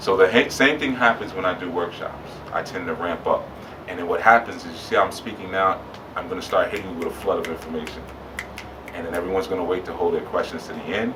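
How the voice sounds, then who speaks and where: Over noticeable background noise and audible room echo, a man talks at a very fast pace with big swings in loudness. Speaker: spiritual teacher. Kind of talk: lecture. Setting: bookstore with live audience.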